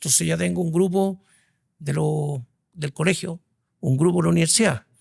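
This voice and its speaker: The man speaks at a moderate pace, the sound dry and close with no echo. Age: 60s. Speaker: executive headhunter. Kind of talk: interview conversation.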